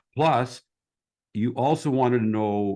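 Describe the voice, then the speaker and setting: A man speaks in an unremarkable speaking voice at medium pitch. His pitch varies in an ordinary way over a quiet background. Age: 60s. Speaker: podcast host. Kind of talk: interview. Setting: call. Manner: casual, filler-heavy.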